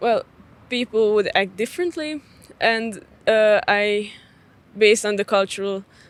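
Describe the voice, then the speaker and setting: A woman with a Hungarian accent speaks at a fairly slow pace and a fairly high pitch, her pitch varying in an ordinary way, with long, frequent pauses. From Hungarian minority in Cluj, Romania. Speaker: street interview participant. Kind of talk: casual debate. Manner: halting, many fillers.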